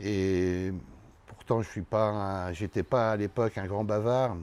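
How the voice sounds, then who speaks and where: A very slow man's voice, fairly low in pitch, with a dark, mellow tone. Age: 60s. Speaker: winemaker. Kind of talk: interview. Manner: halting.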